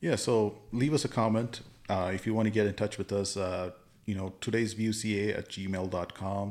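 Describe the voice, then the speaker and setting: A man with a plain, everyday voice talks at a moderate pace, his fairly low pitch held in fairly even intonation. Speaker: podcast host. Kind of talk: casual chat.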